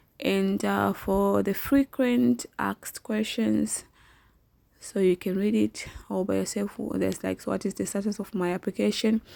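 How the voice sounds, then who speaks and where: A woman talks at a fairly slow pace on a very clean, dry recording with a silent background and no echo. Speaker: online work tutorial youtuber. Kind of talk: tutorial.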